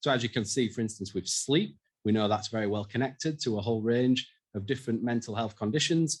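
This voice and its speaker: Speaking very fast, a man with a strong Yorkshire accent keeps a medium pitch. His pitch varies in an ordinary way. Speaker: mental health researcher. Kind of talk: conference presentation.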